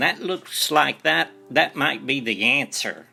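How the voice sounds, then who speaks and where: Lively intonation from a medium-pitched man, with music in the background. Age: 50s. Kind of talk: spoken devotional talk. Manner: halting with repeated words.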